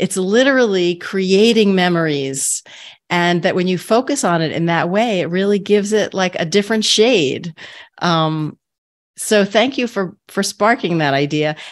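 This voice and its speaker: The voice is a normal speaking voice with an American accent. It moves at a moderate pace with lively intonation. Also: woman, medium pitch for a woman. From New York, Queens. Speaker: podcast host, nutritionist. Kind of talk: interview.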